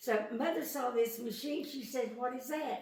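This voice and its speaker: A woman speaks at a very slow pace amid noticeable background noise. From East Tennessee. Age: 80s+. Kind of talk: interview answer.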